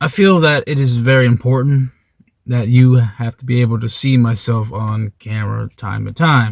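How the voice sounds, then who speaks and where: Somewhat breathy, a man talks at a moderate pace with medium pitch and ordinary pitch variation. The sound is dry and close, with no echo. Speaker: former retail salesman. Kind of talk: casual rant to camera. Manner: stammering.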